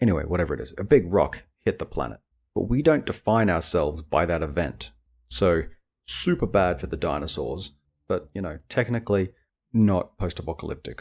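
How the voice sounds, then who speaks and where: Lively intonation and vocal fry color a man's very deep, low voice as he talks at a fairly quick pace on a very clean recording with a silent background. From Australia. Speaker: podcast host and indie author. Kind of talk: casual podcast monologue. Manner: rambling, filler-heavy informal speech.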